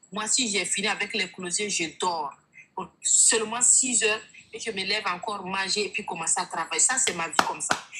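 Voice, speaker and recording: Against noticeable background noise, a woman talks at a moderate pace in a medium pitch with ordinary pitch variation. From Burkina Faso. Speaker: online sales coach. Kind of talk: testimony. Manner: animated.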